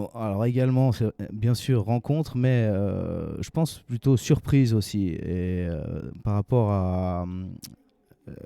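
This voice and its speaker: A man's fairly low voice with a dark, mellow tone, ordinary pitch variation and a very slow pace. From Switzerland, Geneva. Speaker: fantasy author. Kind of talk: interview. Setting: literary festival. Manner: halting, many hesitations.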